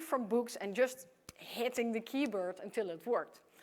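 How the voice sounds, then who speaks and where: She talks at a moderate pace. This woman's voice is high in pitch. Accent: Dutch. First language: Dutch. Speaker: computer science professor. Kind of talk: conference keynote. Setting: stage with audience.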